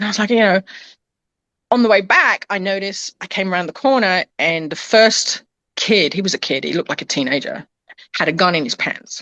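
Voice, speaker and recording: Animated and at a fairly quick pace, a woman speaks in a British accent at medium pitch with ordinary pitch variation. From England. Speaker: pet transport business owner. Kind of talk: casual chat.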